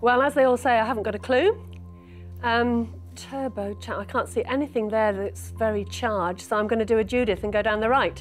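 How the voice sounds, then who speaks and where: Music plays in the background. A woman with a British accent speaks at a fairly quick pace. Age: 60s. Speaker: quiz contestant, retired teacher. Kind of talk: quiz answering.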